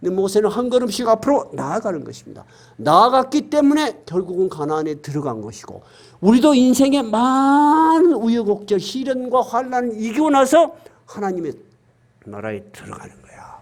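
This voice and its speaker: At a moderate pace, a man speaks with an extremely high pitch, very wide pitch swings and big swings in loudness. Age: 60s. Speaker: pastor. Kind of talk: sermon. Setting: church. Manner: emphatic, conversational preaching.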